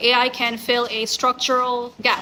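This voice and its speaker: A woman speaks with a Bengali accent at a fairly high pitch. Her tone is bright and sharp. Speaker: academic researcher. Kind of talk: conference talk. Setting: conference. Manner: formal.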